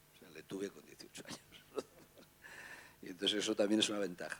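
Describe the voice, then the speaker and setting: The man's voice is fairly low, with fairly even intonation. He talks at a very fast pace. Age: 50s. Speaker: newspaper editor. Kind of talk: panel talk.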